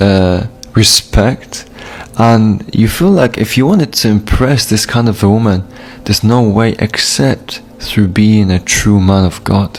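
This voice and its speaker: A man with a Polish accent at a fairly slow pace and fairly low pitch, very even in loudness, with music in the background. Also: ordinary pitch variation. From Poland. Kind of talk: testimony.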